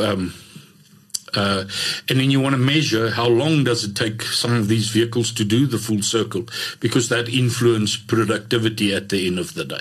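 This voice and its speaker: The man's pitch is medium and his pace moderate. Noticeable background noise runs behind him. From South Africa, Vaal Triangle (Gauteng). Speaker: mining IT manager. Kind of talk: interview. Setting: studio. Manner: halting, many fillers.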